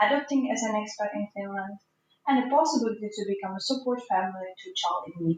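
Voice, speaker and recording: A fairly high, somewhat breathy female voice at a very fast pace, with lively intonation. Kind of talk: podcast host interview.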